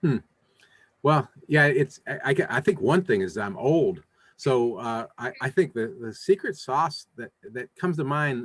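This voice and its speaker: With lively intonation and a fairly high pitch, a man speaks at a fairly slow pace, his loudness swinging widely in a dry, close sound with no echo. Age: 60s. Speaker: used car dealer and podcast host. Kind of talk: interview. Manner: halting, many repetitions.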